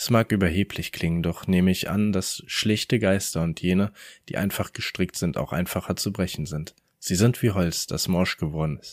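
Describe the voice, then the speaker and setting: Very deep and low, a man's voice moves at a moderate pace with ordinary pitch variation, in a very clean recording with a silent background and a dry, close sound with no echo. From Rhineland, Germany. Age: 20s. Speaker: podcast host and story narrator. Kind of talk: reading aloud horror stories.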